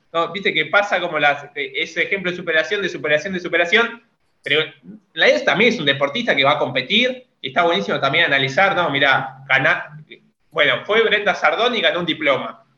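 With lively intonation, a man speaks in a high voice at a fairly quick pace. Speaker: podcast co-host. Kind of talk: interview.

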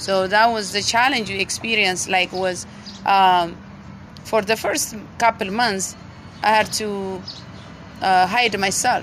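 With an Ethiopian accent, a woman talks at a medium pitch with fairly even intonation and long, frequent pauses. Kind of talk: testimony.

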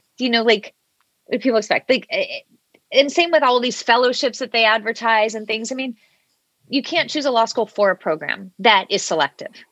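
Speaking at a fairly quick pace in a normal speaking voice, a woman keeps a fairly high pitch with ordinary pitch variation. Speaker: law school admissions consultant. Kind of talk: casual chat. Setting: remote call.

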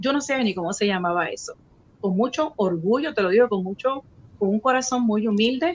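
The voice comes in a Puerto Rican accent, somewhat breathy. It moves at a moderate pace with lively intonation. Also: woman, fairly high pitch for a woman. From Puerto Rico (Río Piedras). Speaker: radio station owner and host. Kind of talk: casual interview.

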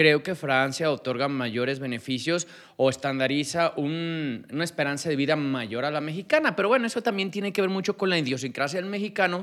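A man with a plain, everyday voice talks at a fairly quick pace, pitched fairly high, with lively intonation. There are hardly any pauses, and the recording is very clean with a silent background. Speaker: podcast host. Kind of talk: interview. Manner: formal.

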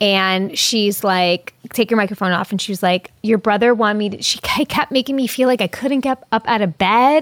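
With a normal speaking voice and fairly high pitch, a woman talks in lively intonation on a very clean recording, silent in the background, the sound dry and close with no echo. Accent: American. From US Northeast, Long Island, New York. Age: 30s. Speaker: actor. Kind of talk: casual chat.

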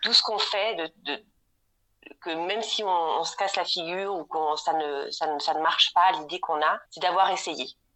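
A woman talks at a fairly slow pace. Her pitch is fairly low, with ordinary variation. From Normandy, France. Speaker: home organising consultant. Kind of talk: interview. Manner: halting, many repetitions and fillers.

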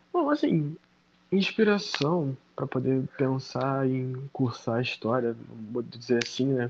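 Noticeable background noise sits behind a man with a fairly high pitch speaking at a fairly slow pace. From Baixada Fluminense, Rio de Janeiro, Brazil. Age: 20s. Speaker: history master's student. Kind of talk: casual interview. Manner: animated.

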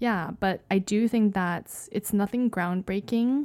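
In a Canadian accent, the speaker uses a dark, mellow tone at a fairly slow pace with ordinary pitch variation. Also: woman. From Canada. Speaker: podcast co-host. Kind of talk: casual chat.

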